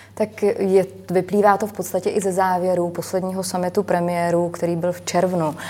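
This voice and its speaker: A woman with a medium-pitched voice speaks in a monotone, flat intonation. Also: moderate pace. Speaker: member of European Parliament. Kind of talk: televised political debate.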